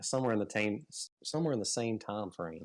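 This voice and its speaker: A man with a Southern US accent speaks at a fairly low pitch, using ordinary pitch variation. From US state of Georgia. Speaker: fishing YouTuber. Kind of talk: casual interview. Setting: live stream.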